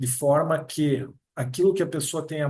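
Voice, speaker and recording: Here a man speaks with a dark, mellow tone. He is somewhat breathy and goes at a fairly slow pace. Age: 60s. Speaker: approved public exam candidate, future notary registrar. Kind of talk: interview.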